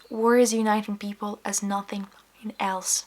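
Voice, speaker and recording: A woman with a Ukrainian accent speaks at a fairly slow pace in a medium pitch. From Ukraine. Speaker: vlogger. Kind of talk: personal vlog monologue.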